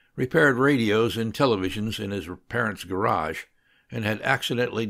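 Ordinary pitch movement in a plain read-aloud delivery

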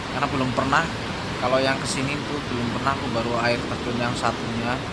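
The man's delivery moves fairly quickly. Loud noise fills the background. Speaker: vlogger. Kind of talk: casual vlog chat. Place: forest. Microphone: phone near.

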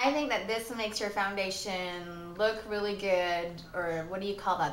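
Audible room echo and light background noise surround a woman who speaks with ordinary pitch variation. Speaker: beauty vlogger. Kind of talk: casual vlog chat. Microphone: phone near.

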